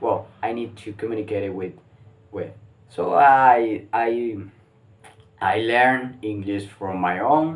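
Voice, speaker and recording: At a very slow pace with long, frequent pauses, a man speaks at a medium pitch with ordinary pitch variation. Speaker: English learner vlogger. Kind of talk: casual monologue, mock interview answers. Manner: halting, many restarts and fillers.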